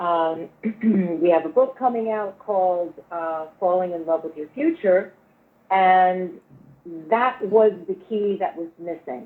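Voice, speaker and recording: In a medium-pitched voice with ordinary pitch variation, a woman speaks at a very slow pace, with long, frequent pauses and big swings in loudness. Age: 60s. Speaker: spiritual healer. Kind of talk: interview. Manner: animated.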